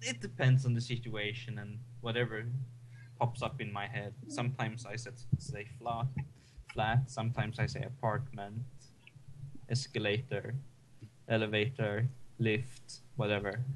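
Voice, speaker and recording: A man speaks in a somewhat breathy monotone with flat intonation and long, frequent pauses. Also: medium pitch for a man, moderate pace. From Sweden. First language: Swedish. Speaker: gaming co-commentator. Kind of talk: casual chat. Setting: live stream.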